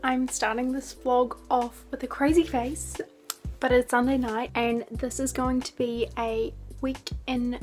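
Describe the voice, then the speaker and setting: A woman with a New Zealand accent speaks at a very slow pace in a high voice, with music playing in the background. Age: young. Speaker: university student. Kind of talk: casual talk to camera.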